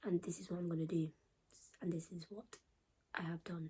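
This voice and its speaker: At a very fast pace, a woman speaks in a medium pitch with a dark, mellow tone that is somewhat breathy. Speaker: YouTuber. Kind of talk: casual chat. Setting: home. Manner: laid back, unscripted.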